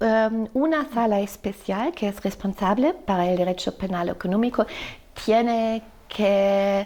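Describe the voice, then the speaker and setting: A woman with a German accent talks at a fairly slow pace in a fairly high, dark, mellow voice with ordinary pitch variation. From Germany. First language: German (speaking Spanish). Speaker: law professor. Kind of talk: podcast interview. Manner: halting, many fillers.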